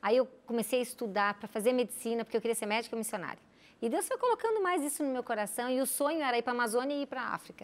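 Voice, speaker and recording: In a high voice with ordinary pitch variation, a woman speaks at a very fast pace. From Brazil, Rio Grande do Sul. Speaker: physician and missionary. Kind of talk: interview. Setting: studio. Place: studio. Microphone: lapel.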